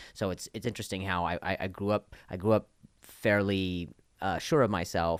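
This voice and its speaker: A man speaks at a fairly quick pace with vocal fry and ordinary pitch variation, on a very clean recording with a silent background. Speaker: comedian and podcast host. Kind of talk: casual chat. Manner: halting, many repetitions.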